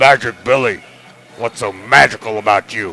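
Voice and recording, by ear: Putting on a gruff character voice, a man speaks at a moderate pace and medium pitch.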